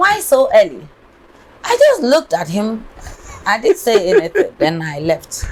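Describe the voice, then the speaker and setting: A woman talks fairly slowly, with noticeable background noise behind her. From Ghana, Ashanti. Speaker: businesswoman, restaurant owner. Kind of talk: interview.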